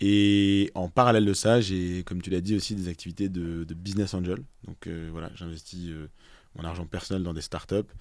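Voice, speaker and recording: A man speaks at a moderate pace in a very deep, low pitch with fairly even intonation, on a very clean recording with a silent background. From Alsace, France (Strasbourg). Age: 30s. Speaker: investment fund co-director. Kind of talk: casual interview. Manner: hesitant with repetitions.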